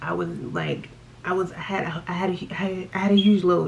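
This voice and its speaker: Her tone animated, a woman talks against noticeable background noise. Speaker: beauty vlogger. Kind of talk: casual chat. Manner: stuttering.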